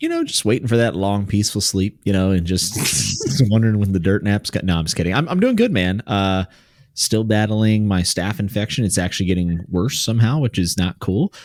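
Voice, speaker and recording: With a slight West Virginia accent, a man talks at a fairly quick pace and very even loudness. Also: fairly low pitch for a man, ordinary pitch variation. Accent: very light West Virginia. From US, West Virginia. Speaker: podcast co-host. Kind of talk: casual chat.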